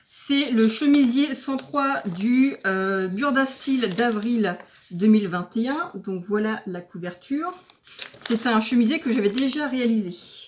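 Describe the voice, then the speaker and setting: Against noticeable background noise, a woman with a fairly high pitch and lively intonation speaks at a very slow pace. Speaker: sewing vlogger. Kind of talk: tutorial. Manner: hesitant with fillers.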